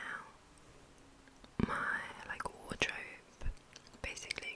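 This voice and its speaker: A woman whispers over noticeable background noise. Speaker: ASMR creator. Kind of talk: whispered ASMR ramble. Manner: whispered.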